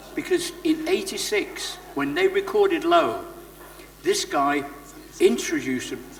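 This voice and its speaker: Noticeable background noise sits behind a man who talks at a fairly slow pace with lively intonation. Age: 60s. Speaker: former recording studio engineer. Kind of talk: interview at a live event. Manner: animated.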